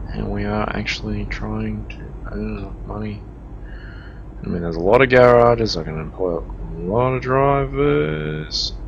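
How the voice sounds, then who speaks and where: With an Australian accent, a man speaks at a moderate pace in a very deep, low pitch, his pitch swinging very widely and his loudness swinging a lot, with audible room echo and noticeable background noise. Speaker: gaming streamer. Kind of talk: gameplay commentary. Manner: casual, conversational.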